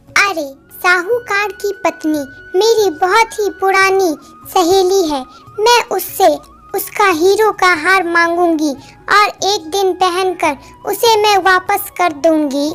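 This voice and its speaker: In a cartoonish character voice, a woman talks at a very slow pace and an extremely high pitch while faint music plays in the background. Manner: chatty, animated.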